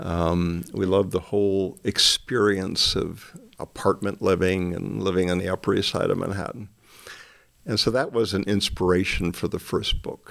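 Fairly even intonation in a Midwestern American accent at a moderate pace, on a very clean recording with a silent background. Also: man, fairly low pitch for a man. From northern Michigan. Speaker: retired minister and mystery author. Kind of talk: interview.

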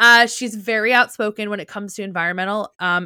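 A woman with a New Jersey accent talks at a fairly quick pace, her medium pitch showing ordinary variation and a bright, sharp tone. The recording is very clean and dry, close with no echo, over a silent background. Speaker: podcast co-host, teacher. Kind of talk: casual chat.

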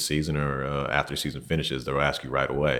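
A man talks at a very fast pace in a very deep, low pitch with monotone, flat intonation. Noticeable background noise sits behind him. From Hawaii. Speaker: professional basketball player and trainer. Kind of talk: casual interview.

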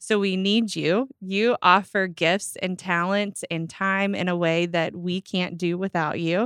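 A woman with an American accent and an ordinary speaking voice talks at a fairly slow pace with fairly even intonation. The sound is dry and close, with no echo. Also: medium pitch for a woman. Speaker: church volunteer coordinator. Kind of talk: casual chat.

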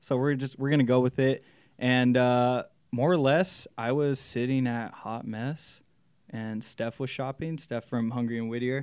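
In a very clean recording with a silent background, a man with an American accent and an unremarkable speaking voice talks at a fairly slow pace, in a medium pitch with fairly even intonation. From Southern California, Inland Empire (Chino Hills). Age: 20s. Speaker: clothing store owner. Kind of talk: casual interview chat.

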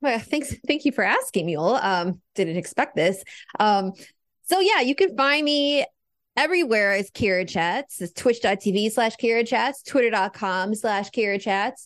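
In an unremarkable speaking voice, a woman with a fairly high pitch talks at a moderate pace with lively intonation over a quiet background. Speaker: podcast co-host. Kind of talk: casual banter and interview.

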